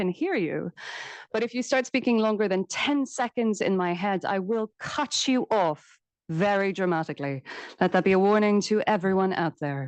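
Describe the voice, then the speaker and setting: Woman with an Irish accent, very wide pitch swings and a moderate pace, over a quiet background. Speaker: panel moderator, academic. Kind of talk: moderating a panel discussion. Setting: conference room with live and online audience.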